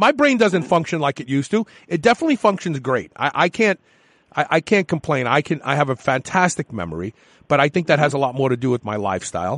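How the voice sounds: Fast pace and fairly bright tone, with a dry, close sound and no echo. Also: man, fairly high pitch for a man, lively intonation.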